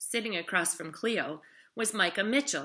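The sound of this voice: An unforced reading voice is heard throughout.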